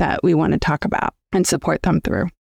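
In a very clean, dry, close recording with a silent background and no echo, a woman with a fairly low pitch uses a normal speaking voice and ordinary pitch variation. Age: 40s. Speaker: career coach. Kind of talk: casual interview.

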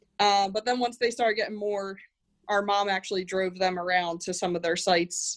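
An unremarkable speaking voice from a woman with an American accent, medium pitch, fairly even intonation and a fairly quick pace. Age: 30s. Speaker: snow management company president. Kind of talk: podcast interview.

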